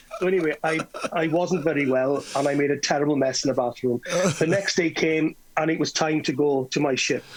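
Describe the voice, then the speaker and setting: A man in a West Wales accent speaks at a fairly quick pace and fairly high pitch, with very even loudness. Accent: West Welsh English. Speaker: entertainer. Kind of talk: casual chat, storytelling. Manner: animated.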